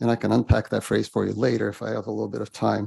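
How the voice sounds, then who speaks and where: Recorded dry and close with no echo, a man speaks in a dark, mellow tone with vocal fry. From Bulgaria. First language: Bulgarian. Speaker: public commenter. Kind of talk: public comment. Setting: school board meeting.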